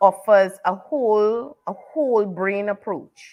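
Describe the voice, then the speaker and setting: A woman speaks with a Trinidadian accent. Her pace is very slow and her pitch is medium. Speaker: author and teacher. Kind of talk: interview.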